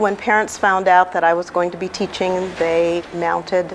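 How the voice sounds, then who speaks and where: A woman of medium pitch speaks with an American accent at a fairly slow pace. Noticeable background noise can be heard. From California, Bakersfield. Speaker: retired teacher. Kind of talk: interview; speech.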